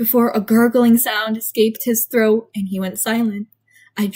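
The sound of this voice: The background stays quiet. The voice is an unforced reading voice.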